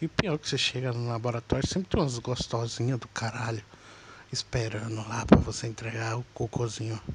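This is a normal speaking voice with fairly even intonation. The pace is fairly quick. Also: man, medium pitch for a man. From Minas Gerais, Brazil. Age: 20s. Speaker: podcaster, aspiring comedian. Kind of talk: casual comedic monologue.

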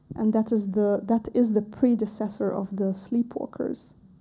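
In an Arabic accent, a woman speaks at a fairly slow pace and fairly high pitch, somewhat breathy, with a dark, mellow tone and monotone, flat intonation. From Lebanon. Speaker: visual and performance artist. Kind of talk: artist talk / lecture with film clips. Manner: halting, searching for English words.

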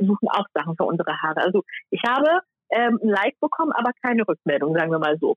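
A woman races along at a very fast pace at a medium pitch, with very wide pitch swings and very even loudness, while music plays in the background. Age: 20s. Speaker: YouTuber on hair care. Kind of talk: casual interview chat. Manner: many fillers.

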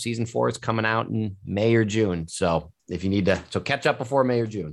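This man has an American accent and a medium pitch. He uses a normal speaking voice. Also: quiet background. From US Midwest, Cleveland area. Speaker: wine show host and sommelier. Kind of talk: interview.

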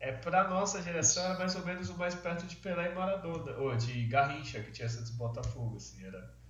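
The speaker talks at a fairly quick pace with very wide pitch swings and big swings in loudness. Noticeable background noise runs underneath. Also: man, fairly high pitch for a man. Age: 30s. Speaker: podcast co-host. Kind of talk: casual chat.

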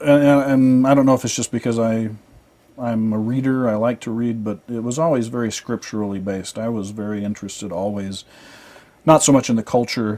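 Here a man talks at a fairly quick pace with a dark, mellow tone. His medium pitch carries fairly even intonation. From Southern Illinois. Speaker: filmmaker. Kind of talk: interview.

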